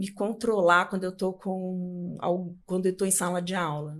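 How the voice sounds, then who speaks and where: The pitch of this woman's voice is medium. She speaks with flat, monotone intonation. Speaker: public speaking coach. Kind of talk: interview. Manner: talkative.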